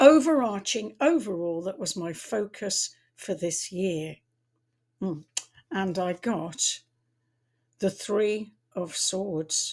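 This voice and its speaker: With lively intonation and a medium pitch, a woman speaks very slowly, leaving long, frequent pauses. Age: 70s. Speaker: tarot reader and astrologer. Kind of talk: casual talk to camera. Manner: halting, with repetitions.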